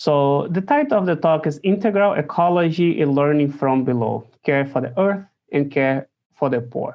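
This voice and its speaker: Here a man speaks with a Brazilian accent. His voice sits fairly high, with ordinary pitch variation. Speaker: theology professor, priest. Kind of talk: recorded lecture presentation. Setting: recording at home. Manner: slow, deliberate; hesitant, many fillers.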